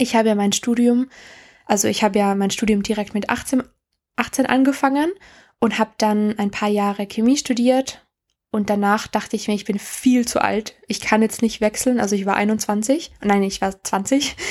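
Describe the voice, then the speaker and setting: A woman speaks at a fairly high pitch and a moderate pace, with fairly even intonation. The recording is very clean, with a silent background. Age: 20s. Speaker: podcast host. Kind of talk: casual monologue. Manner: halting.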